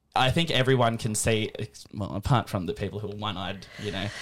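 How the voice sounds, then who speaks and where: In an Australian accent, a man speaks with a fairly low pitch. The recording is very clean, with a silent background. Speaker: podcast host. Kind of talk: casual interview. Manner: hesitant, filler-heavy.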